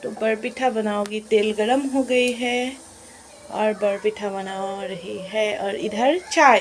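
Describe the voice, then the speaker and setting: A woman speaks with a fairly high pitch and ordinary pitch variation. Noticeable background noise runs underneath. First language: Assamese (speaking Hindi). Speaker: vlogger. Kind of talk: casual home vlog. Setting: at home. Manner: halting, self-correcting Hindi.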